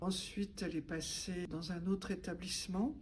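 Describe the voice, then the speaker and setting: A woman talks at a fairly slow pace with vocal fry. Her pitch variation is ordinary. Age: 70s. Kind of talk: testimony. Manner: hesitant with frequent fillers.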